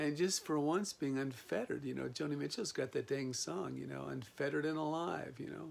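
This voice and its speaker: A man talks at a fairly quick pace. He leaves hardly any pauses. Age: 60s. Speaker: video blogger. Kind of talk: reflective monologue. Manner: meandering, many fillers.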